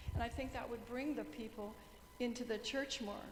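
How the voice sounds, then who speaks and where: Over music in the background and audible room echo, a woman speaks loudly at a high pitch and a moderate pace in a monotone, flat intonation. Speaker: church member. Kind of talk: meeting discussion.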